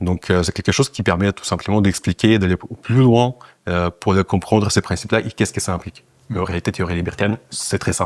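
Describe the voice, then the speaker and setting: Speaking at a fairly quick pace with a Russian accent, a man with a fairly low pitch sounds dry and close, with no echo. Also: fairly even intonation. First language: Russian (speaking French). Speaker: political party leader. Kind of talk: interview. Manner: hesitant, many fillers.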